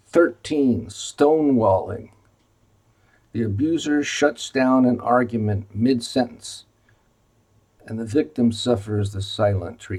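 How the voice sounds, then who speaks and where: Speaking with an American accent, a man talks at a very slow pace, leaving long, frequent pauses. His pitch is medium, with ordinary pitch variation. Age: 70s. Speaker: retired physician. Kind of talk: informational video presentation. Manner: halting with many fillers.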